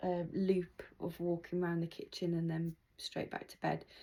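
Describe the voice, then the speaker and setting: This woman, with a British accent, has a fairly low pitch and a dark, mellow tone, heard on a very clean recording over a silent background. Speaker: patient vlogger. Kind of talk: video diary. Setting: at home. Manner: slow, many pauses.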